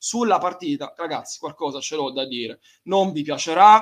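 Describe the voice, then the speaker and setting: A man with a high pitch and ordinary pitch variation speaks in an animated tone. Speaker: football podcast host. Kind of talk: live post-match talk. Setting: live stream with voice chat. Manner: animated, swearing.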